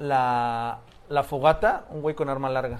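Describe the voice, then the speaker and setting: At a fairly slow pace, a man with an ordinary speaking voice talks with ordinary pitch variation. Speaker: graffiti storyteller, podcast co-host. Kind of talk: storytelling.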